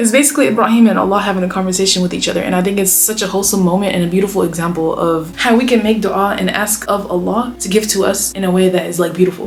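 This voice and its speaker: With noticeable background noise behind her, a woman speaks at a medium pitch with ordinary pitch variation. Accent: American. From United States. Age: 20s. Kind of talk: casual talk to camera. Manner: upbeat.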